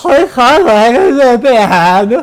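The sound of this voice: A man puts on a character voice with extremely high pitch. Music plays in the background.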